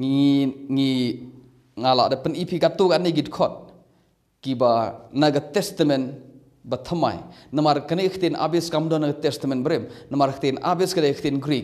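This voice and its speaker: Against a quiet background, a man with a Meghalaya accent speaks in a fairly high pitch with long, frequent pauses. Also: fairly even intonation, fairly slow pace. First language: Khasi (speaking Malay). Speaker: bible teacher. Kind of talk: bible teaching. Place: home room. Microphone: phone near.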